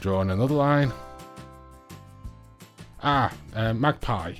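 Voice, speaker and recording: Background music behind a male voice with ordinary pitch variation. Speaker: nail tutorial voiceover.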